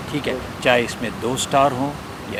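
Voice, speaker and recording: Noticeable background noise behind a man speaking at a medium pitch. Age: 70s. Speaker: retired army general. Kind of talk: interview.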